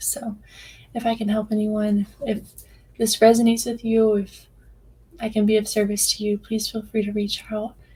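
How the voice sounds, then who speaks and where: A woman talks at a moderate pace in a monotone, flat intonation. Her voice is somewhat breathy. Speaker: life coach and podcast host. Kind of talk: personal podcast monologue. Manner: hesitant, many filler words.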